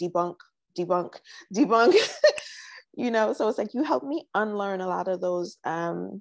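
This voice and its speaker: Using a New York accent, a woman talks at medium pitch and a moderate pace with long, frequent pauses. The sound is dry and close, with no echo. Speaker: entrepreneur, sales coaching client. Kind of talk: interview. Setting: live stream.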